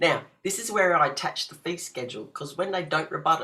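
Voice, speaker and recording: A fairly quick pace with an Australian accent. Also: woman. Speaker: legal self-help video presenter. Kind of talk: tutorial. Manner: fast; hesitant with fillers.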